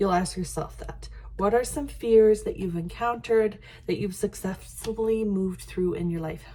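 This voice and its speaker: A woman with a Canadian accent at a moderate pace. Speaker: life coach. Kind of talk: tutorial. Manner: halting.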